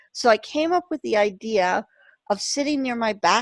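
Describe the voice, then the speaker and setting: In an ordinary speaking voice, a woman talks at a fairly slow pace with ordinary pitch variation. The recording is very clean with a silent background and a dry, close sound with no echo. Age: 50s. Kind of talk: casual chat.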